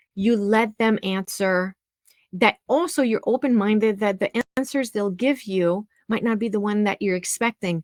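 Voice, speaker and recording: A woman's fairly slow speech in a French accent, with a dry, close sound and no echo. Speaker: music teacher and practice expert. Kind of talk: webinar presentation.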